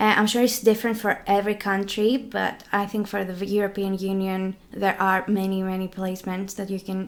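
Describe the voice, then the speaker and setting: In a Greek accent, a woman talks at a medium pitch with monotone, flat intonation. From Greece, Crete. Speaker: law student. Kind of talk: casual chat. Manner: hesitant.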